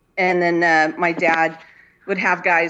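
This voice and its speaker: Against a quiet background, a woman with a Californian accent speaks at a fairly slow pace. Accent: Californian American. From Inland Empire, Southern California. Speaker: painter and artist. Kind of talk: casual interview chat. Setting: video call from home.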